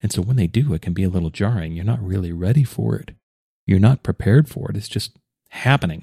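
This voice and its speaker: A man's fairly low, dark, mellow voice comes through somewhat breathy and dry, close with no echo. He talks very fast with lively intonation. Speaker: podcast host. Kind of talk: monologue on healing and personal reflection. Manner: reflective, earnest.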